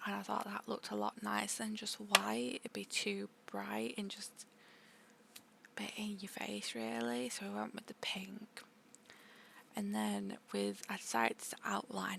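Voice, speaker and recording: Soft-spoken and relaxed in tone, the speaker goes at a fairly slow pace with long, frequent pauses. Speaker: art content creator. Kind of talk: art tutorial voiceover.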